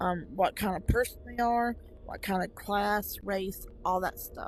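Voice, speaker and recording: A woman with a Southern US accent, music playing behind her. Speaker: VR gaming YouTuber. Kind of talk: casual gameplay commentary. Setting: VR headset gameplay recording. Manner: casual with frequent fillers.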